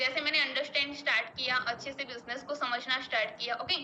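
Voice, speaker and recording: A raised, projected voice with a Gujarati accent, fairly even intonation and a moderate pace. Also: woman. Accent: Gujarati-accented Hindi. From Gujarat, India (Ahmedabad). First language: Gujarati (speaking Hindi). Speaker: network marketing business member. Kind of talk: personal success story at online meeting. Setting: online meeting.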